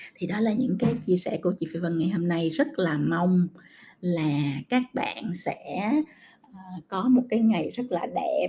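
Very slowly and with lively intonation, a woman speaks at a medium pitch. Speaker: podcast host. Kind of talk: casual monologue podcast.

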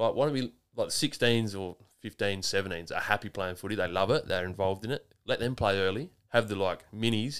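Speaking with an Australian accent, a man has a fairly low pitch and ordinary pitch variation. The recording is very clean, with a silent background. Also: fairly quick pace. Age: 30s. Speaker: podcast host. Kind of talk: casual chat.

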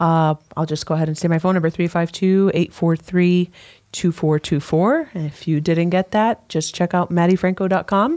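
A woman with an American accent speaks at a moderate pace, her fairly low pitch carrying a dark, mellow tone and fairly even intonation. The recording is very clean with a silent background and a dry, close sound with no echo. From US Northeast, Brooklyn, New York. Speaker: realtor. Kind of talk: radio interview.

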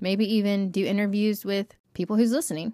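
A woman's normal speaking voice, fairly high in pitch with fairly even intonation, in a very clean recording with a silent background and a dry, close sound with no echo. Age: 30s. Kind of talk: casual faith talk. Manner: fast, run-on.

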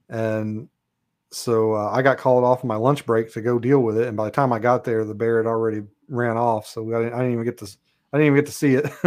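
A man speaks very fast in a monotone, flat delivery at medium pitch. The background is quiet. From Kentucky. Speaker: author and Bigfoot researcher, former police officer. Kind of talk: casual chat.

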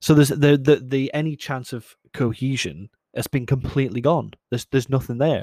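In a Scottish accent, a man with a dark, mellow tone talks at a fairly quick pace and medium pitch, his intonation fairly even, in a dry, close sound with no echo. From Scotland. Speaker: podcast host. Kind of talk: solo casual monologue. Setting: alone in a room. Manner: hesitant, many fillers.

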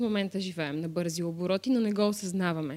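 A woman with a fairly low pitch uses a normal speaking voice with lively intonation. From Bulgaria, Varna. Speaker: actress. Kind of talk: casual chat.

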